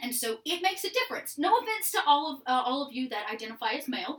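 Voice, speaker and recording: The speech rushes at a very fast pace, with very wide pitch swings. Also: woman. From Georgia, US South (small town). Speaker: improv theatre worker and streamer. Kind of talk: casual chat.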